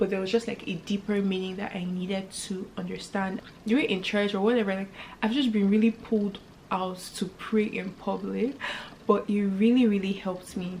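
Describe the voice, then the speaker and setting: A woman speaks in an animated tone at a medium pitch, with noticeable background noise around her. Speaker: faith and lifestyle YouTuber. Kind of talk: casual vlog talk to camera. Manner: fast.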